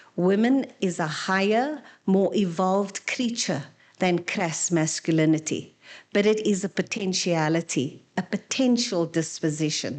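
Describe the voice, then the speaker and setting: An ordinary speaking voice carries lively intonation at a fairly slow pace over a quiet background. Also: woman. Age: 60s. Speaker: panel speaker. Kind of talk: seminar presentation.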